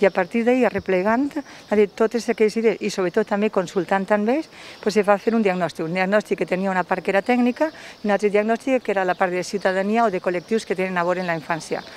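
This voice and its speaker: In a Valencian accent, a woman talks at a very fast pace with hardly any pauses, her pitch medium. Her pitch variation is ordinary, and the sound is dry with no echo. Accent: Valencian Catalan. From Valencia region, Spain. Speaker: local councillor. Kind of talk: interview. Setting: outdoors. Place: street. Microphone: handheld.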